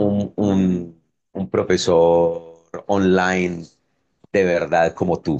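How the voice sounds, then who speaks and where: A man talks in a very deep, low pitch. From Colombia, coffee region (Pereira area). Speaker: language teacher and tour guide. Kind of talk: casual multilingual conversation.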